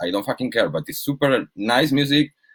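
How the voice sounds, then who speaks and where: This is a man speaking. He has a Spanish accent. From Spain. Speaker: DJ and label manager. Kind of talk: casual chat. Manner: halting.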